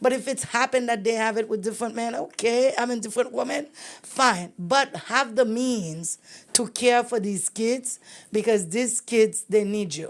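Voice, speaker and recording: A woman's unremarkable speaking voice, fairly high in pitch with ordinary pitch variation, at a moderate pace on a very clean recording with a silent background. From immigrant, came to US very young. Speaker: podcast host. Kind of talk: interview conversation.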